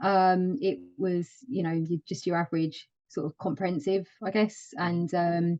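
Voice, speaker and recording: In a London accent, a woman talks at a fairly slow pace. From London, east side. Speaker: project management office lead. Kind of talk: interview. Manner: hesitant, many fillers.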